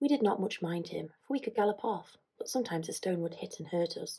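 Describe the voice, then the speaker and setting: Soft-spoken and somewhat breathy, a woman talks at a fairly quick pace in a dark, mellow tone with ordinary pitch variation. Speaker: ASMR creator. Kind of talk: reading aloud.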